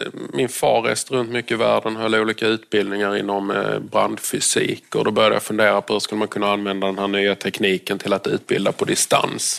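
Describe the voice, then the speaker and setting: This man talks at a fairly quick pace with hardly any pauses, and there is noticeable background noise. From southern Sweden, Lund. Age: 40s. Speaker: doctor and tech entrepreneur. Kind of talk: interview on stage at event.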